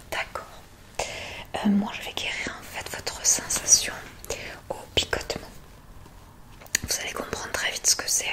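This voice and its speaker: A woman whispers at a very slow pace, with long, frequent pauses and big swings in loudness. Noticeable background noise sits behind her. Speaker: ASMR creator doing a doctor role-play. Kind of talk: ASMR role-play, soft spoken to the listener. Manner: soft-spoken, calm, slow.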